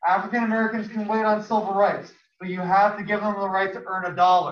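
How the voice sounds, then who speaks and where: A man speaks at a fairly quick pace in a high pitch, his intonation monotone and flat, with audible room echo. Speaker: high school history teacher. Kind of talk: classroom lecture. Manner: fast.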